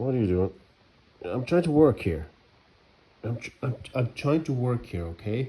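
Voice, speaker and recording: At a moderate pace, a man with a medium pitch and a dark, mellow, somewhat breathy tone speaks with lively intonation and long, frequent pauses. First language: not English. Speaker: singer-songwriter vlogger. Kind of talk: casual vlog talk. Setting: garage.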